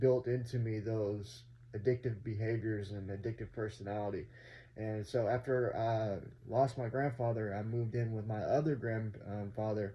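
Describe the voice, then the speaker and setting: A man with an American accent speaks at a moderate pace and medium pitch. His voice is somewhat breathy, with fairly even intonation. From North Texas. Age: 30s. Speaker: vlogger sharing addiction recovery story. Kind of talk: personal testimony vlog. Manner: casual, many fillers (um, uh).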